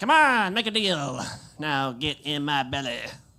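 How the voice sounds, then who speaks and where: A put-on character voice at a low-to-middle pitch moves at a moderate pace in a very clean recording with a silent background. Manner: menacing yet salesman-like, coaxing.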